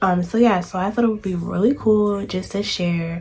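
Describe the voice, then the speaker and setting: The speech moves at a moderate pace with ordinary pitch variation. Noticeable background noise runs behind it. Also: woman. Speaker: homemaking vlogger. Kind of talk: casual vlog talk. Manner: filler-heavy, relaxed.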